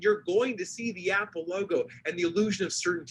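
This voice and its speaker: A man speaks in an animated tone at a fairly quick pace. His pitch is high. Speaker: leadership consultant and speaker. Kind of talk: presentation talk. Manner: fast.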